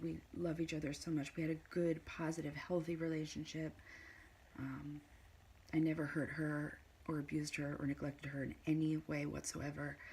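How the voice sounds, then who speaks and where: Quietly and at a fairly quick pace, a woman speaks with a very deep, low pitch and a dark, mellow tone. Her intonation is monotone and flat. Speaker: mother in custody dispute, vlogger. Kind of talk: personal testimony vlog. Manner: halting, many fillers.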